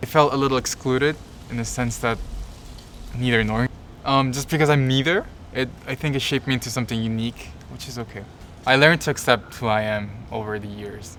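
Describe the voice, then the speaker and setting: A man with a Korean accent speaks very fast at a medium pitch, his intonation fairly even. His loudness swings widely, and he leaves long, frequent pauses. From South Korea. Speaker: interviewee. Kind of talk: interview.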